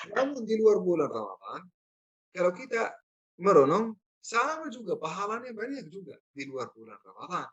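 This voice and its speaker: A high-pitched man with a non-native accent speaks at a moderate pace, with very wide pitch swings and big swings in loudness. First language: not Indonesian (speaking Indonesian). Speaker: Islamic preacher. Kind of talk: religious lecture.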